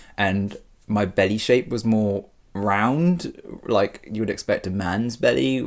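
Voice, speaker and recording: A man speaks in a British accent at a fairly low pitch. He goes at a very slow pace with lively intonation. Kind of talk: personal vlog.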